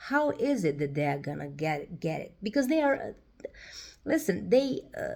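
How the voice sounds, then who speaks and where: Speaking fairly slowly, a woman uses a fairly high voice with very wide pitch swings and vocal fry. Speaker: tarot reader. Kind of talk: tarot reading monologue. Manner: hesitant, many fillers.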